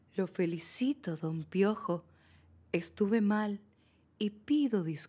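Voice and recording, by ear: A natural voice reading aloud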